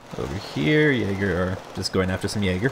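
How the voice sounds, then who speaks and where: A man's fairly low pitch comes through amid noticeable background noise. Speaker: game caster. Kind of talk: live commentary. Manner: animated.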